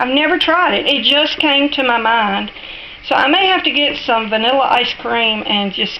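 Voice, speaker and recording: A woman's high-pitched voice with lively intonation, a fairly slow pace and a strong Southern US accent, over noticeable background noise. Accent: thick Southern US drawl. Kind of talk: casual cooking tutorial talk to camera. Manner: friendly, chatty.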